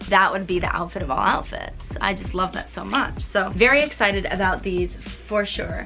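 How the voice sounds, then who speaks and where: A woman talks at a moderate pace while clear music sounds behind her. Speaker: fashion vlogger. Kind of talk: casual vlog chat. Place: home room. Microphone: camera far.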